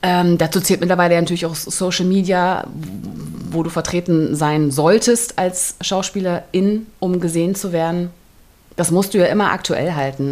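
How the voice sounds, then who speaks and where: A woman's fairly low voice with audible echo in the room. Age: 40s. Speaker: actress and podcast co-host. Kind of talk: casual chat. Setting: recording together in a room overlooking the cathedral.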